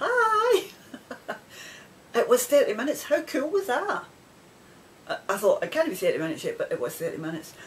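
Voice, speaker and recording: A woman with a Scottish accent at a fairly quick pace, broken by long, frequent pauses, amid noticeable background noise. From Scotland. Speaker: knitting podcaster. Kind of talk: casual video podcast chat. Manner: rambling, conversational with many fillers.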